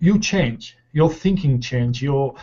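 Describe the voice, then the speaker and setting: Somewhat breathy and fairly high-pitched, a man speaks with a non-native accent at a fairly slow pace. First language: not English. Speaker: law of attraction panelist. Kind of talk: casual chat. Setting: video call. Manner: halting.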